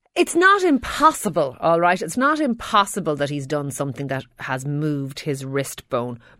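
In a very clean recording with a silent background, a woman with an Irish accent speaks at a moderate pace with hardly any pauses, her very deep, low voice bright and sharp in tone with lively intonation. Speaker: doctor answering health questions. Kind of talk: radio health Q&A. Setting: radio studio.

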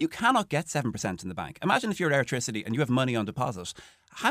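Speaking very fast in a Dublin accent, a man uses very wide pitch swings and vocal fry. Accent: Dublin Irish. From Ireland, Dún Laoghaire (Dublin). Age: 40s. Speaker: local politician. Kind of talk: radio panel discussion. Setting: studio.

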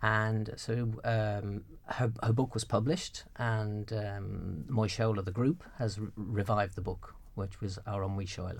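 Somewhat breathy, a man talks at a fairly slow pace with fairly even intonation. The recording is very clean, with a silent background. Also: fairly low pitch for a man. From West Midlands, England. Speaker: television news executive. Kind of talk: casual interview chat.

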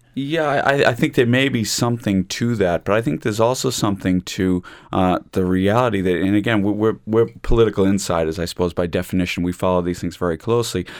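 The speaker rushes along at a very fast pace with hardly any pauses. The accent is American. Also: man, fairly low pitch for a man, ordinary pitch variation. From United States. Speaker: law lecturer. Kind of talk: panel discussion on radio. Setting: studio.

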